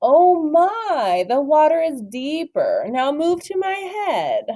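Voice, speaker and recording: An extremely high, put-on character voice speaks at a very slow pace. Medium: read story. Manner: crooning, sly.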